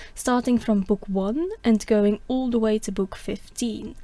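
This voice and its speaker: With a non-native accent, a woman speaks at a moderate pace in a fairly high pitch, her tone dark and mellow and her intonation fairly even. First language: not English. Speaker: podcaster, classics student. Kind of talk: podcast monologue.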